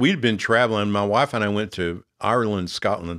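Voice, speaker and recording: An ordinary speaking voice with an American accent, ordinary pitch variation and a moderate pace, on a very clean recording with a silent background. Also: man. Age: 60s. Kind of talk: teaching podcast talk.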